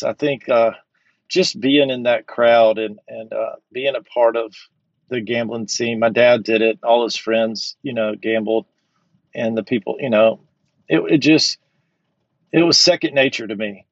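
A man talks in a Southern US accent at medium pitch. His pace is fairly slow, with ordinary pitch variation. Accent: Southern American. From Georgia, US South. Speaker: recovering compulsive gambler. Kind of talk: interview, personal story.

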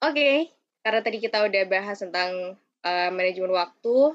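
Against a quiet background, a woman talks at a fairly quick pace with an ordinary speaking voice and medium pitch. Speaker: student podcast host. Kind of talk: casual podcast interview.

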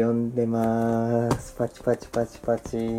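Over music in the background, a man speaks at a fairly slow pace and medium pitch. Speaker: podcast host. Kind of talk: casual chat. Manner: soothing.

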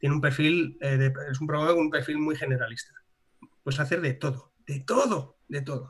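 A fairly high-pitched, somewhat breathy man at a moderate pace. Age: 30s. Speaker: animation studio founder and blogger. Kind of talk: casual interview. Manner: animated.

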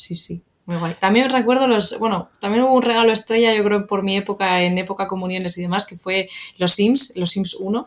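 A woman with a normal speaking voice talks at a moderate pace and a medium pitch, her intonation fairly even. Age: 30s. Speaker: video game PR manager. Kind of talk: casual chat.

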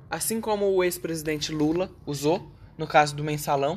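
A woman with a very deep, low pitch. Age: 20s. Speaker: podcast host. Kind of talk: casual political discussion.

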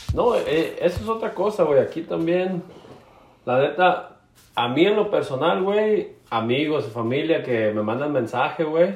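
This man's voice is high-pitched, with very wide pitch swings. Room echo is audible. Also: fairly slow pace. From Mexico, Jalisco coast. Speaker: podcast co-host. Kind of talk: casual chat.

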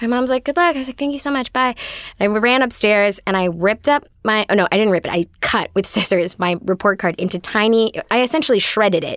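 A woman with an American accent speaks at a fairly quick pace, in an unremarkable speaking voice pitched fairly high. Her intonation is lively, and the sound is dry and close with no echo. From US West Coast, Los Angeles. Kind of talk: storytelling in casual chat.

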